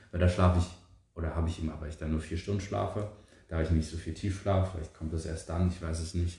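Talking at a very fast pace, a man with a very deep, low pitch and a dark, mellow, somewhat breathy tone keeps a monotone, flat intonation. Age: 20s. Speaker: podcast co-host, power plant trainee. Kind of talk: casual chat.

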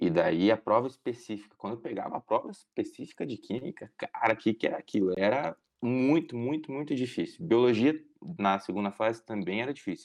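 Lively intonation marks this man's speech. He has an unremarkable speaking voice at a medium pitch. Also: quiet background. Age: 20s. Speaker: medical student. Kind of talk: casual interview.

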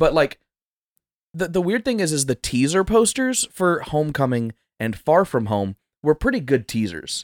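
A man's fairly high-pitched voice with very wide pitch swings and a moderate pace, in a very clean, dry, close recording with no echo and a silent background. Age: 20s. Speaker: podcast co-host. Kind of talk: casual chat. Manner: animated.

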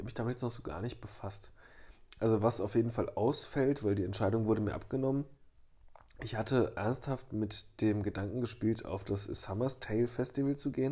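A man talks at a fairly quick pace with fairly even intonation. His voice is medium in pitch, dark and mellow, and somewhat breathy. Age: 30s. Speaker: podcast co-host. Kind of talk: casual chat.

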